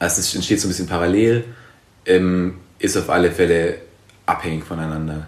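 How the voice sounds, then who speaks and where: A man's very deep, low voice at a fairly quick pace, with fairly even intonation and long, frequent pauses. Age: 20s. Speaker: journalist. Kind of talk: interview. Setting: in-person recording.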